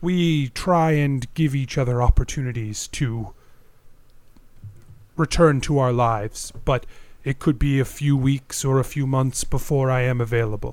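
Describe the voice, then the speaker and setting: A man speaks in a put-on character voice at medium pitch. His pace is moderate and his intonation fairly even. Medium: actual play. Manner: formal, stiff.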